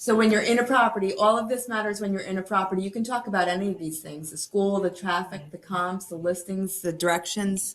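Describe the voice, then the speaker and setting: A woman talks very fast at a medium pitch, her intonation fairly even while her loudness swings widely. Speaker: real estate trainer. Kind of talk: training webinar.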